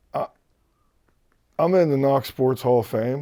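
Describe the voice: At a fairly slow pace, a man speaks in a dark, mellow tone. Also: medium pitch for a man, ordinary pitch variation.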